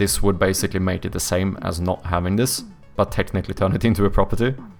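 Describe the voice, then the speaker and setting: Someone talks at a very fast pace over music in the background. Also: man. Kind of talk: explaining programming.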